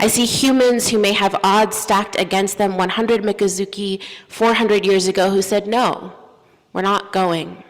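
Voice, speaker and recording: Over noticeable background noise, the speaker keeps a monotone, flat intonation at a moderate pace with very even loudness. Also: woman, medium pitch for a woman. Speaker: minister / preacher. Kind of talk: sermon delivered from a pulpit.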